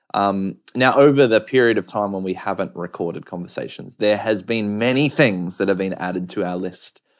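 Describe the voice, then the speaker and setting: Here is a man with an ordinary speaking voice, fairly low in pitch with ordinary pitch variation, at a moderate pace with hardly any pauses. The recording is very clean with a silent background. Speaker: podcast host. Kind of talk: casual chat.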